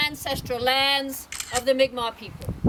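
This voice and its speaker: A woman speaks at a high pitch amid noticeable background noise. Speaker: town crier. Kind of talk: town crier proclamation. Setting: outdoors. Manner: loud, declamatory.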